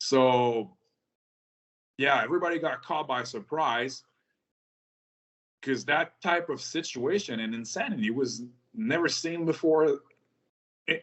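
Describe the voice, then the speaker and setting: A man with a French-Canadian accent, fairly high in pitch, with lively intonation and long, frequent pauses. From rural Quebec, Canada. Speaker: military veteran. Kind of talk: interview. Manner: hesitant, many fillers.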